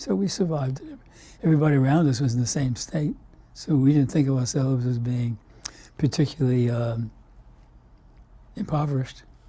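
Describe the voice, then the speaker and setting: A man with an American accent, a medium pitch and a dark, mellow, somewhat breathy tone. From US Northeast, Brooklyn, New York. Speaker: immunologist, scientist. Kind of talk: oral history interview. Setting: recorded interview. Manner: halting, many fillers.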